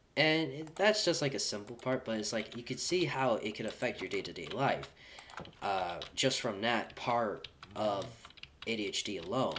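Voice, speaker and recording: There is noticeable background noise as a man speaks at a moderate pace. His pitch is medium and his intonation lively. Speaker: gaming streamer. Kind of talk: casual livestream chat. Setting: live stream. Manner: slurred speech; halting.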